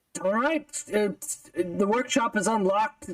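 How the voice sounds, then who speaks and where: A fairly high-pitched, put-on character voice at a fairly slow pace. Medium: actual play. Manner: nervous, hesitant, stammering.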